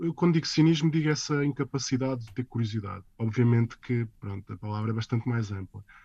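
With hardly any pauses, a man talks very fast in a dark, mellow, somewhat breathy tone at medium pitch, with ordinary pitch variation, big swings in loudness and a quiet background. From Portugal. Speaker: comics artist. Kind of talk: interview. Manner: halting.

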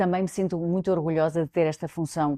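A woman speaks in a fairly low, dark, mellow voice with fairly even intonation. The sound is dry and close with no echo, over a quiet background. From Portugal, Coimbra. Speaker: director of UN food agency. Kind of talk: interview testimony.

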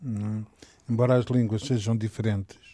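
Speaking with a medium pitch, a man has a dark, mellow tone and fairly even intonation. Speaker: political commentator. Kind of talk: casual political debate. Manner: halting, hesitant.

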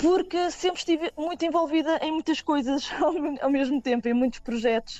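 At a moderate pace and very even loudness, a woman speaks in a high pitch with music in the background. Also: lively intonation. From Portugal, Nazaré. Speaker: singer and multi-instrumentalist. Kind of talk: radio interview. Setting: remote call via messaging app.

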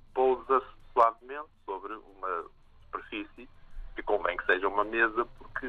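A man is speaking. His pace is moderate. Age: 60s. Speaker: artist. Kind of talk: interview. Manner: halting.

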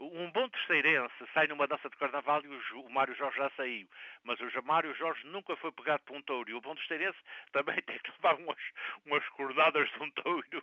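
A man with a plain, everyday voice and a fairly high pitch talks at a fairly quick pace, his intonation fairly even but his loudness swinging widely. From Azores, Terceira island. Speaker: community radio correspondent. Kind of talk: casual chat.

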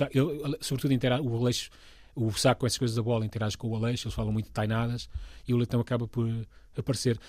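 A man's medium-pitched, somewhat breathy voice, very fast and monotone with flat intonation, on a very clean recording with a silent background. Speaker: comedy writer and voice actor. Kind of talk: casual interview.

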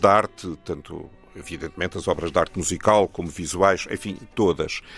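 The speaker has a European Portuguese accent and a moderate pace. Music plays in the background. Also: man. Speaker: poet and translator. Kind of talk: poet reading own poems aloud, then interview. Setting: radio studio. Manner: measured, solemn, declamatory reading; reflective, somewhat halting in conversation.

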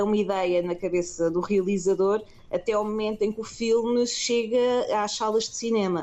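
A woman speaks at a fairly quick pace in a normal speaking voice. Her pitch variation is ordinary. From Portugal, Lisbon. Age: 30s. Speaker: film producer. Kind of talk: interview.

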